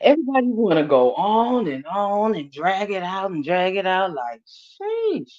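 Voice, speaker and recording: A woman speaks loudly at a fairly slow pace, her medium-pitched voice making very wide pitch swings. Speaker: YouTube live host. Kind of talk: casual chat.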